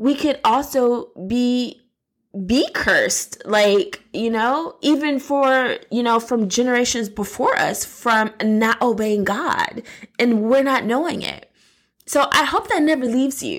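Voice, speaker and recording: A woman speaks at a fairly slow pace in a high-pitched, animated voice with ordinary pitch variation. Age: 30s. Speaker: podcast host. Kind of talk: faith-based personal talk.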